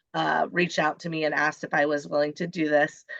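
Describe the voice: A woman talks at a fairly quick pace in a low pitch, with little pitch movement. Her voice is nasal with a fairly bright tone and vocal fry.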